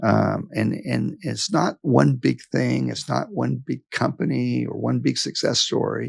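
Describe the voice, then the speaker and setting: Speaking at a fairly slow pace, a man talks in a Texan accent. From West Texas. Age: 60s. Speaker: business executive. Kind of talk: interview. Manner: halting.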